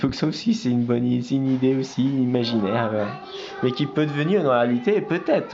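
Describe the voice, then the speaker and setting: Over noticeable background noise, a man speaks at a fairly quick pace with a medium pitch. His loudness stays very even, and his pitch varies in an ordinary way. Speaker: amateur artist. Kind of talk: casual vlog presenting artworks. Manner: halting, many fillers and restarts.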